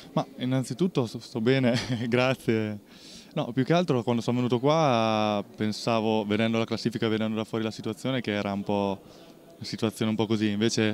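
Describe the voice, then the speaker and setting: Over faint background music, the speech moves at a fairly quick pace with fairly even intonation and a dry sound with no echo. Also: man. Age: 20s. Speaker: basketball player. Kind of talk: post-game interview. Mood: calm, pleased after win. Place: hall. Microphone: handheld.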